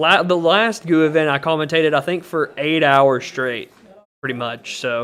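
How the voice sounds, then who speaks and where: The man's voice has a fairly high pitch and a moderate pace. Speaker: card game tournament commentator. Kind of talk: live commentary. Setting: live stream at tournament venue. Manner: loud; speaking quieter than usual.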